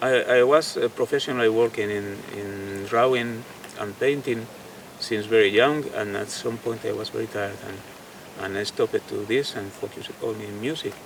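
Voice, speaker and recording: Man with a Spanish accent, moderate pace and fairly even intonation, his loudness swinging widely over noticeable background noise. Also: medium pitch for a man. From Spain. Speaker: guitarist and painter. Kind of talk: interview. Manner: halting, with many fillers and repetitions.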